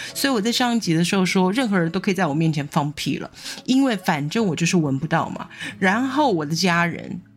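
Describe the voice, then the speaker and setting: Lively intonation and an animated tone at a fairly quick pace, with music in the background. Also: woman, medium pitch for a woman. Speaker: podcast host. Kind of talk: casual monologue. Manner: animated, laughing often.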